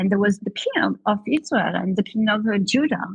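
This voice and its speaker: A woman's medium-pitched voice with vocal fry, ordinary pitch variation, and a dry, close sound with no echo. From Marseille, France. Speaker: economist and communication expert. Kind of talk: interview answer.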